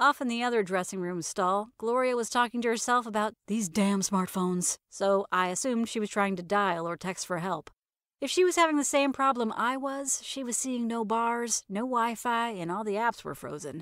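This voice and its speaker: A woman with a plain, everyday voice talks at a moderate pace and fairly high pitch, using lively intonation and hardly any pauses. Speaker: narrator, author. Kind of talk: horror story narration.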